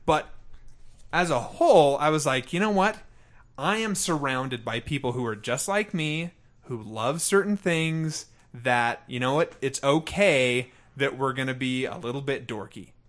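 The man has a normal speaking voice, fairly high in pitch, with lively intonation at a moderate pace. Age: 30s. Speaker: podcast host. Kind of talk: casual chat.

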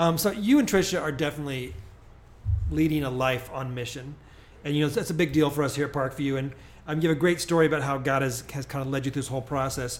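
With a Midwestern US accent, a man rattles along at a very fast pace, his fairly high pitch held in fairly even intonation. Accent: US Midwest. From Springfield, Illinois. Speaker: pastor and podcast host. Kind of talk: interview.

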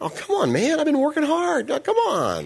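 Someone in a put-on character voice speaks in a whiny way at a moderate pace. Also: man. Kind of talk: pleading. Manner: whining.

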